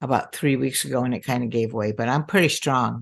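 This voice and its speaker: A woman's very deep, low voice with vocal fry and ordinary pitch variation, against a quiet background. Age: 80s+. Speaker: nutritionist and naturopath. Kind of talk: interview.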